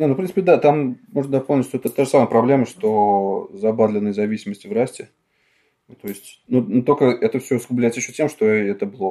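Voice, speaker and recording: A man's dark, mellow voice, lively in intonation, at a very fast pace. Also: medium pitch for a man. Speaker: free software developer. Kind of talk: casual chat. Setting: remote podcast recording.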